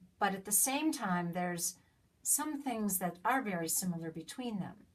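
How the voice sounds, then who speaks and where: A woman talks at a moderate pace, her pitch swinging very widely. Her voice is somewhat breathy. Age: 60s. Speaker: citizen vlogger. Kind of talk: direct-to-camera political appeal. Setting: self-recorded on iPad. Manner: halting, repeating words.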